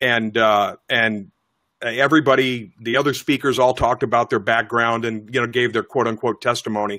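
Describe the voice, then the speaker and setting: Medium-pitched male speech, monotone and flat in intonation, at a moderate pace. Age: 60s. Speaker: podcast host and minister. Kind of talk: casual interview chat. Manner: halting, repeats words.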